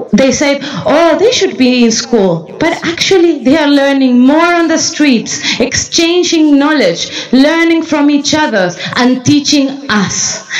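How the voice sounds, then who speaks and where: Over music in the background and with audible room echo, the speech moves at a fairly slow pace with very even loudness. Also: woman, high pitch for a woman, lively intonation. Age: young. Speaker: youth representative on organic movement board. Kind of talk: conference talk. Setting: conference stage with audience.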